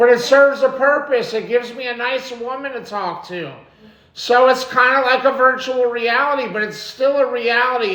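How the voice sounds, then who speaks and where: Over noticeable background noise and audible room echo, a man with an extremely high pitch talks in a raised, projected voice at a moderate pace. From New York. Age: 40s. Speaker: live streamer. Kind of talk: live stream chat. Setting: home live stream. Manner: loud.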